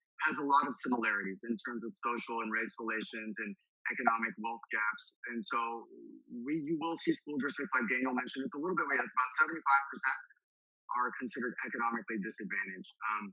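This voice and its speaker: A man with an American accent, medium-pitched and talking very fast. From Texas, Houston. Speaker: school district manager presenting. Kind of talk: webinar presentation.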